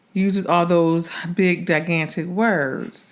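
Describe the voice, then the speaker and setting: Over noticeable background noise, a woman with an American accent talks at a very slow pace and a fairly low pitch. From Philadelphia. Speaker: actress. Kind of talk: casual chat.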